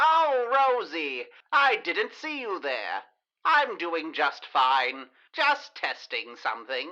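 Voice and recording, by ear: A female-sounding put-on character voice speaks very slowly at a fairly high pitch.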